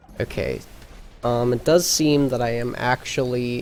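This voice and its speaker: Very slow speech over noticeable background noise. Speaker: video game streamer. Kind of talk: live stream commentary. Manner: quiet, keeping voice down; hesitant, many fillers.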